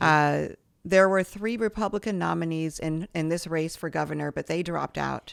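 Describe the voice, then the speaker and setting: Background silence frames a very clean recording. In it, a woman talks at a moderate pace. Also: dry, close sound with no echo. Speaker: podcast host. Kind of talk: podcast interview questions.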